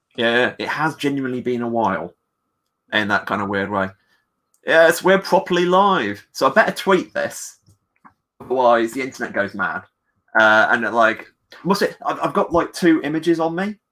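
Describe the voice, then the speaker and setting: Very wide pitch swings run through a bright, sharp voice with an English accent. Long, frequent pauses break up the speech. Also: man. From England. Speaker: comic book writer. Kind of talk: casual chat. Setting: livestream. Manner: fast.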